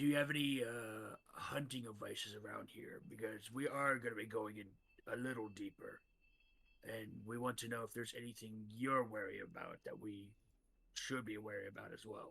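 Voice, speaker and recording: Using a put-on character voice, a man speaks in a raspy tone at medium pitch. His pace is moderate and his intonation fairly even. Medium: actual play. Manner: polite, earnest.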